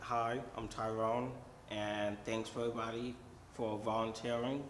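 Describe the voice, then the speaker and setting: Over noticeable background noise and audible room echo, a man speaks at a fairly slow pace with monotone, flat intonation. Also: medium pitch for a man. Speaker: outreach program client. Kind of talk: informal recorded training talk.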